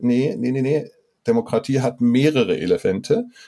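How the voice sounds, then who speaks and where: A man's dark, mellow tone at a medium pitch, with lively intonation. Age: 50s. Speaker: guest expert on democracy and faith. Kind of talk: casual interview conversation.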